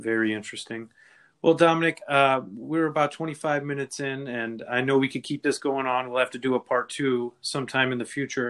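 In a very clean recording with a silent background, a man with an American accent talks at a fairly quick pace, his medium pitch held to fairly even intonation. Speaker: podcast host. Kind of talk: interview. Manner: halting.

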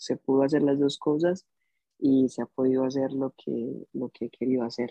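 A man speaks in a plain, everyday voice at a moderate pace. His pitch is fairly high, with fairly even intonation. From Colombia, Bogotá. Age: 20s. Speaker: musician. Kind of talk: interview conversation.

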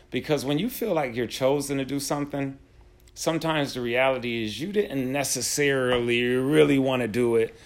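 This man has a normal speaking voice and an American accent. He speaks at a fairly quick pace in a medium pitch with ordinary pitch variation. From upstate New York (Buffalo). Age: 40s. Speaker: podcast host, teacher. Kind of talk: casual interview chat.

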